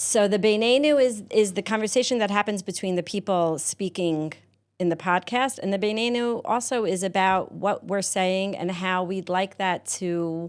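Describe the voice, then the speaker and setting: A woman with a medium-pitched voice and ordinary pitch variation speaks at a moderate pace on a very clean recording with a silent background. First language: not Hebrew. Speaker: podcast studio owner. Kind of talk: interview conversation.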